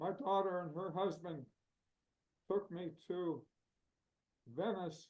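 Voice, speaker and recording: Speaking at a very slow pace, a man with an American accent has a high pitch. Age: 80s+. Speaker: painter and retired art professor. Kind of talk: interview Q&A.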